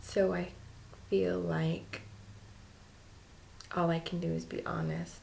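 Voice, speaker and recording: A woman at a very slow pace with long, frequent pauses and audible room echo. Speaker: vlogger. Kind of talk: casual vlog. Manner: hesitant, many ums; quiet, low voice.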